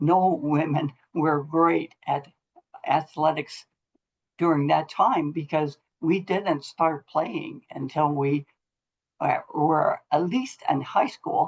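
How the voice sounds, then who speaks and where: Speaking with an American accent at a very slow pace, a woman uses a very deep, low pitch, ordinary pitch variation, very even loudness and long, frequent pauses. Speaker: motivational speaker, former volleyball coach. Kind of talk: talk to a college team. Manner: halting, speech impaired after stroke.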